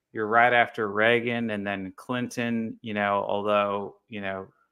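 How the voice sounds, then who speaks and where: This man has a plain, everyday voice and an American accent. His pitch is medium and he talks at a fairly slow pace. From United States. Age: 40s. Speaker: expat vlogger. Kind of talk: casual chat.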